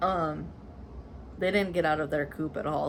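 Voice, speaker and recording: Vocal fry runs through a woman's very deep, low voice as she speaks with an American accent and fairly even intonation. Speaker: cross-stitch vlogger. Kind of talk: casual chat. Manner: casual, filler words.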